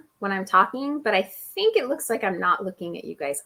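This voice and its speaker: With lively intonation, a woman talks in a medium pitch and a plain, everyday voice. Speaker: online publishing educator. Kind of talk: live stream Q&A. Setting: live video stream. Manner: casual, filler-heavy.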